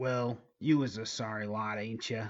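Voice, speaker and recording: A man puts on a character voice at medium pitch. He delivers it at a moderate pace. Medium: read story. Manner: manic, cackling.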